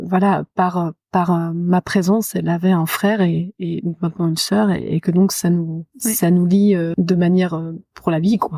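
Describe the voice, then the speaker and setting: A woman's fairly low, dark, mellow voice in a flat monotone at a fairly slow pace, in a very clean recording with a silent background and a dry, close sound with no echo. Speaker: lullaby singer and children's show performer. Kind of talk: interview answer. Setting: library, poor microphone recording.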